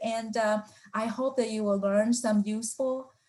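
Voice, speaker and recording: Speaking at a moderate pace, a woman with a non-native accent has a fairly high pitch and fairly even intonation. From Taiwan. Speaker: professor. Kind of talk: lecture. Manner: halting, with fillers.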